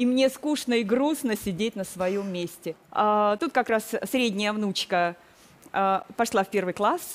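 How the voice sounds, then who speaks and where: Speech unfolds at a very slow pace. The pitch varies in an ordinary way. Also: woman, fairly high pitch for a woman. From southern Russia, Krasnodar region; Russia. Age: 50s. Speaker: retired educator, makeover participant; retired educator. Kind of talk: TV talk show testimony. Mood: defensive, explaining. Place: studio. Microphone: headset.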